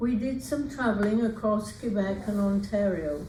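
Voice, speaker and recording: With an English accent, a woman speaks at a moderate pace in a fairly high voice with ordinary pitch variation, amid noticeable background noise and audible room echo. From England. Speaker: retired teacher and author. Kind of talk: reading aloud.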